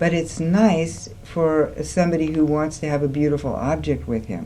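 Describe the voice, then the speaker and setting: Over noticeable background noise and audible room echo, a woman talks with lively intonation at a very deep, low pitch. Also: moderate pace. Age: 60s. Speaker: women's school co-founder. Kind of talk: studio talk show discussion. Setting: TV studio, live. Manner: animated.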